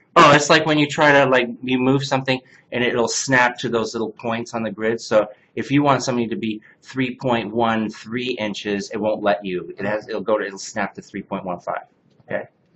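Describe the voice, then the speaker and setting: This man speaks at a moderate pace and a medium pitch. It is a normal speaking voice. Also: ordinary pitch variation. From Canada. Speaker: CNC workshop instructor. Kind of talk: hands-on software class.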